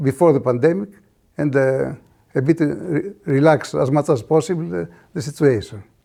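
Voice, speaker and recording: A man speaks at a moderate pace with a Greek accent, his pitch fairly high and his intonation lively. His tone is dark and mellow, and the recording is very clean with a silent background. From Greece. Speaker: clinical microbiologist. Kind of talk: conference talk. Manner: halting, many fillers.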